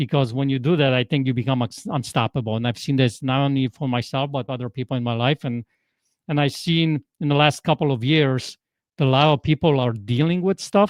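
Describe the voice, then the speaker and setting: This man talks at a fairly quick pace in a Polish accent. His pitch is medium, with ordinary variation. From Poland. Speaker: transformational coach. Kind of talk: podcast interview. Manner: animated.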